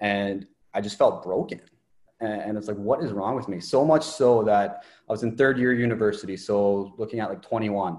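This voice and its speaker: In an ordinary speaking voice, a man with a Canadian accent talks at a moderate pace and a fairly low pitch, with ordinary pitch variation over a quiet background. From Ontario, Canada. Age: 20s. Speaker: mindset coach. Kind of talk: interview.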